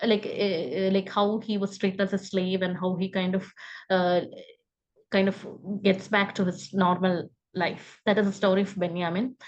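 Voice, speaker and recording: A woman talks at a moderate pace in a Keralan accent. Her intonation is monotone and flat. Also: medium pitch for a woman. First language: Malayalam. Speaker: book reviewer at a literary forum. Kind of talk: book review talk. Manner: halting, many fillers.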